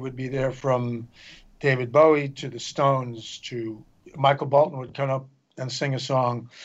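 Pitched fairly high, a man talks in an unremarkable speaking voice. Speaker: songwriter and musician. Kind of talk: interview.

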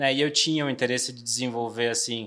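The recording is very clean with a silent background. A man speaks at a moderate pace. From Bahia, Brazil (Salvador). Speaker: trade marketing director. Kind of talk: interview podcast.

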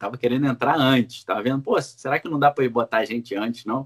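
A man talks in a Rio de Janeiro accent at a medium pitch. The sound is dry and close, with no echo. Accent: carioca. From Brazil, Rio de Janeiro. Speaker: political commentator. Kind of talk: interview.

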